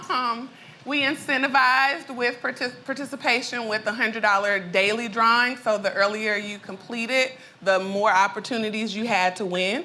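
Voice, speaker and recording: Speaking at a moderate pace in an Arkansas accent, a woman uses a fairly high pitch with ordinary pitch variation, and there is audible room echo. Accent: Arkansas Southern accent, full. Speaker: education researcher and entrepreneur. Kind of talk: conference presentation. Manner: casual, frequent fillers.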